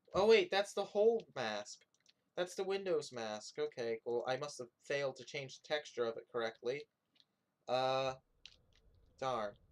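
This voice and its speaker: The delivery is fairly slow, with long, frequent pauses. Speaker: game developer streamer. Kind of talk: live stream commentary while coding. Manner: soft-spoken; halting.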